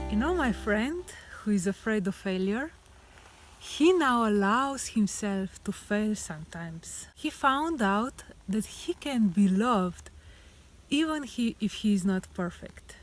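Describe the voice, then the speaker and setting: A woman with a non-native accent speaks at a fairly slow pace in a somewhat breathy, fairly high voice that makes very wide pitch swings. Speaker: life coach. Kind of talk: relationship advice talk to camera.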